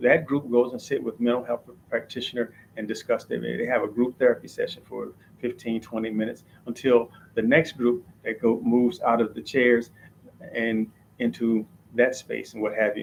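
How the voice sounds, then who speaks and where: Speaking fairly quickly, a man uses an ordinary speaking voice at medium pitch. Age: 60s. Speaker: holistic healer and breathwork teacher. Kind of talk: information session. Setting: live stream.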